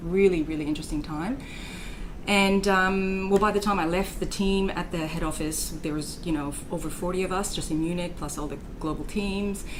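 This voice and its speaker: Over noticeable background noise and audible room echo, a woman with a fairly low pitch speaks at a fairly quick pace. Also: fairly even intonation. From Quebec, French Canada. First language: French. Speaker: startup founder. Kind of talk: interview. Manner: hesitant, with fillers.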